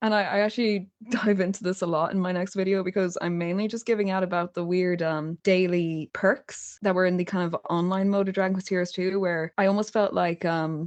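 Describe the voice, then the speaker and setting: A woman with an Irish accent talks at a very fast pace. Her medium-pitched voice keeps fairly even intonation. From Ireland. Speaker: YouTuber. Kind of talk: podcast interview answer.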